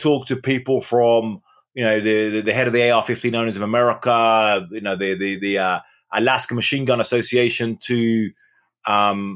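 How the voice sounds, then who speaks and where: On a very clean recording with a silent background, a man with an English accent talks in a fairly even intonation. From England. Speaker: journalist and author. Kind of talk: interview. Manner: halting, many repetitions.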